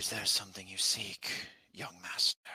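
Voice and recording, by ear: Putting on a character voice, a man talks at a moderate pace in a very deep, low pitch that is gruff and raspy.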